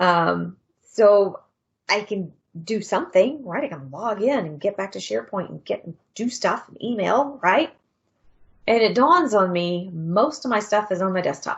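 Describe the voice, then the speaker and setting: A woman talks at a moderate pace with medium pitch and vocal fry. Her tone is animated, and her loudness swings widely. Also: lively intonation. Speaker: conference speaker on Microsoft 365 tools. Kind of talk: conference presentation.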